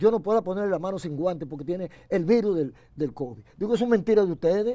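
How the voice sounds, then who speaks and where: He speaks at a very fast pace, high-pitched for a man. His tone is dark and mellow, with lively intonation. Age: 80s+. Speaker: pastor. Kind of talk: interview.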